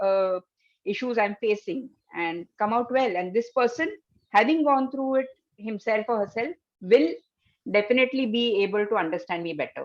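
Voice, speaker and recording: A woman's ordinary speaking voice, fairly high-pitched with lively intonation, at a moderate pace. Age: 60s. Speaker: psychotherapist. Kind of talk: interview.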